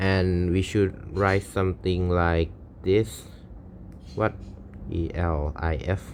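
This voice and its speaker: A man's very deep, low voice with a Thai accent, very slow pace, fairly even intonation and long, frequent pauses. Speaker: programming streamer. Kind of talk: coding tutorial. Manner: thinking aloud, halting.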